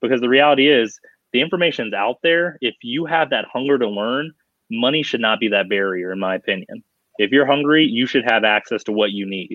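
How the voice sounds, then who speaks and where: In a plain, everyday voice with an American accent, a man talks at a fairly quick pace with medium pitch and lively intonation. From Colorado. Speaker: college athletics compliance consultant. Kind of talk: interview conversation.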